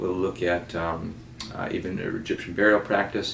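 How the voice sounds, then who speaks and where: A man at a fairly low pitch is heard with audible room echo and noticeable background noise. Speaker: college teacher. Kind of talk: recorded lecture. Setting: self-recorded video. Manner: fast.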